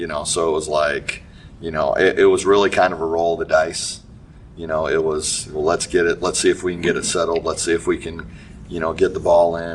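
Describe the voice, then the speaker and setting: Noticeable background noise runs under a man speaking fairly quickly. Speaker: high school basketball coach. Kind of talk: casual interview.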